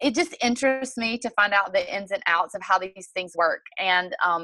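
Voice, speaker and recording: Her tone is bright and sharp, in a Southern US accent. This woman speaks at a medium pitch with ordinary pitch variation. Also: moderate pace. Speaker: network marketing distributor and fitness coach. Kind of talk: sales presentation on a group call.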